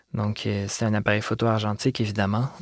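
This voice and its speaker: The speaker is a man. He talks with a Quebec accent. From Quebec, Montreal. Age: 20s. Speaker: visual artist. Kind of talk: interview. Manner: halting.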